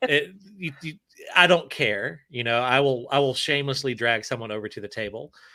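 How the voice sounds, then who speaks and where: A man with a Southern US accent talks at a fairly quick pace in a medium pitch, with a bright, sharp tone, ordinary pitch variation and big swings in loudness. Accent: Southern US, weak. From Alabama, US South. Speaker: author. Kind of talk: casual chat.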